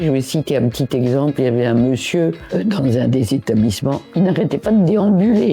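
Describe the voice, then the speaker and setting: Music plays in the background. The voice swings very widely in pitch. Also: woman. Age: 90s. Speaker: association member, elderly care advocate. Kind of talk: interview testimony.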